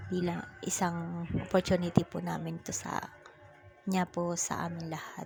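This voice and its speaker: A woman speaking at a fairly slow pace over background music. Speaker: vlogger. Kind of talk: vlog narration.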